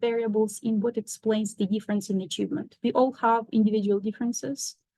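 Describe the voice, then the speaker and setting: A woman with a non-native accent, fairly high in pitch and somewhat breathy, at a moderate pace with fairly even intonation. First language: not English. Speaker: professor. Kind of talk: lecture.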